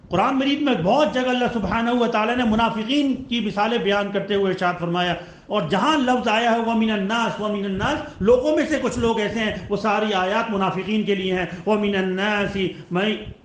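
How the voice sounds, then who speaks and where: Noticeable background noise beneath ordinary pitch variation. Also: man, high pitch for a man. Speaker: Islamic preacher delivering a Friday sermon. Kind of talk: religious sermon.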